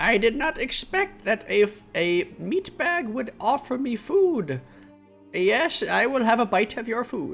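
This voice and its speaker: Faint music can be heard behind the voice. It is a put-on character voice delivered fairly slowly. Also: female-sounding voice, high pitch for a woman. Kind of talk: formal.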